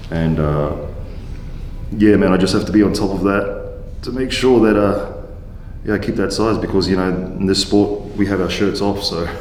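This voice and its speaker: With an Australian accent, a man talks at a moderate pace in a fairly low pitch and fairly even intonation, amid noticeable background noise and audible room echo. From Australia, Queensland, Gold Coast. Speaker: professional wrestler, former rugby player. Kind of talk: casual chat.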